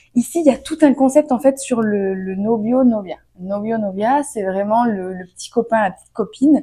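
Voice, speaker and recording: Her voice is fairly high in pitch with a dark, mellow tone, and the woman moves at a moderate pace with ordinary pitch variation and big swings in loudness. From France. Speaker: vlogger. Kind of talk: casual storytime vlog. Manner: animated, hesitant with fillers.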